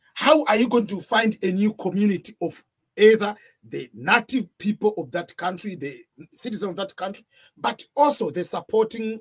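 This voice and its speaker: In a Tanzanian accent, a man talks at a moderate pace with a high pitch and ordinary pitch variation, the sound dry and close with no echo. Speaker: video blogger. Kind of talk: storytelling monologue.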